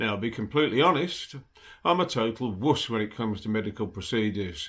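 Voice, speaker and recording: A man talks at a moderate pace in an ordinary speaking voice. The recording is very clean, with a silent background. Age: 60s. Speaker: cochlear implant patient. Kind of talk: casual talk to camera.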